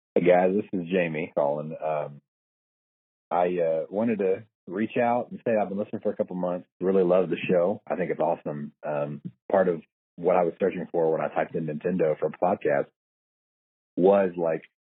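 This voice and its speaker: With an American accent, a man with a very deep, low pitch speaks at a moderate pace with fairly even intonation. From US, West Virginia. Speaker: listener caller. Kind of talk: voicemail message. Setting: phone voicemail.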